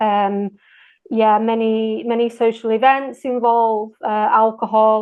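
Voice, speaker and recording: A woman in a northern English accent, at a fairly high pitch, with monotone, flat intonation and a fairly slow pace. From Manchester, England. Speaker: English teacher. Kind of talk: interview answer.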